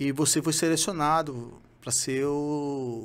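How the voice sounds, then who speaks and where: His pitch is fairly high for a man. The intonation stays fairly even. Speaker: retired marine special forces sniper. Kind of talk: interview testimony. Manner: halting. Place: studio. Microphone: studio mic.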